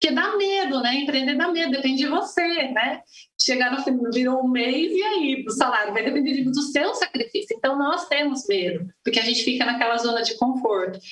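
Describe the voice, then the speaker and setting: The woman's pitch is high and her intonation lively. She talks at a moderate pace with hardly any pauses. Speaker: education director and pedagogue. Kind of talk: interview. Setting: live online talk show.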